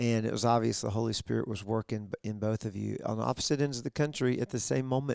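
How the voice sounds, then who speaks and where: A man at medium pitch rattles along at a very fast pace with hardly any pauses and ordinary pitch variation, the sound dry and close with no echo. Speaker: podcast co-host. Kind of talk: casual interview. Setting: guests' living room.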